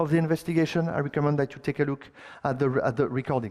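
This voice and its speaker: A man with a strong French accent. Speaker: conference speaker, software engineer. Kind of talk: technical conference talk. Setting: stage with audience. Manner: halting, with many fillers and repetitions.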